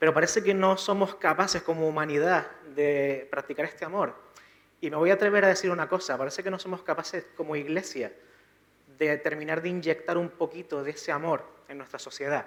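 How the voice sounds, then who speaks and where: Using fairly even intonation, a man talks at a fairly quick pace in a high pitch. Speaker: preacher. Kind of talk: sermon. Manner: soft-spoken.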